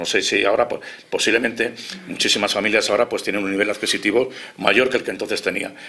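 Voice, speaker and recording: The pace is very fast. Noticeable background noise sits behind the voice. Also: man. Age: 60s. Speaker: political commentator. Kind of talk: heated debate.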